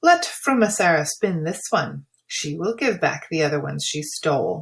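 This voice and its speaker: A female-sounding voice puts on a gruff character voice at a fairly low pitch. The pace is moderate. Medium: read story. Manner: gruff, muttering.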